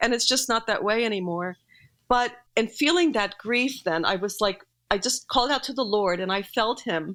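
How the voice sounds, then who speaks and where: On a very clean recording with a silent background, a woman speaks at a moderate pace with lively intonation and a fairly high pitch. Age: 60s. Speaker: pastor's widow and writer. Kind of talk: interview about grief. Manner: halting.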